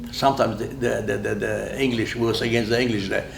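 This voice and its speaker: Someone with a Polish accent speaks at a fairly quick pace. Noticeable background noise and audible room echo fill the recording. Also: man. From Poland. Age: 90s. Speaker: war veteran. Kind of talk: oral history interview.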